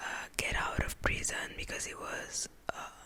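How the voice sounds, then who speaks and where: Very slow whispering from a woman, noticeable background noise behind it. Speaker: ASMR creator. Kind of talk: ASMR whispered talk about TV shows for sleep. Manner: whispered, slow, relaxing.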